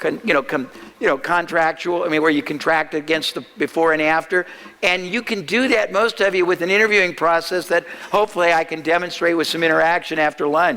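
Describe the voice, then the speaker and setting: A man talks at a fairly quick pace with a high pitch. Noticeable background noise runs underneath. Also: ordinary pitch variation. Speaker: marketing speaker. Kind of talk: seminar talk. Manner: fast.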